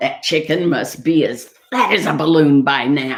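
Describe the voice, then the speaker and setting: Moderate speed and middle pitch in a put-on character voice. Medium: read story. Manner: sly, scheming.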